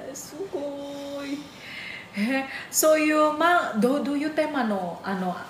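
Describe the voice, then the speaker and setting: A woman's high-pitched, fairly slow speech in an Indonesian accent, with lively intonation, big swings in loudness, audible room echo and noticeable background noise. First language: Indonesian (speaking Japanese). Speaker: YouTube channel host, Japanese teacher. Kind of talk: casual interview chat.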